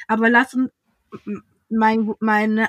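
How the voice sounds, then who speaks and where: Bright and sharp, a woman's fairly high voice moves at a fairly slow pace in a dry, close sound with no echo. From western Germany, Essen (Ruhr area). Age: 30s. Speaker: entrepreneur and agency founder. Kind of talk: podcast interview.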